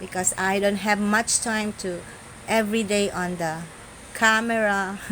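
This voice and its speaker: In a room with audible echo and noticeable background noise, a woman with a Filipino accent speaks at medium pitch. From Philippines. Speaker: social media content creator. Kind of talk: live stream monologue. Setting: live stream. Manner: halting non-fluent English.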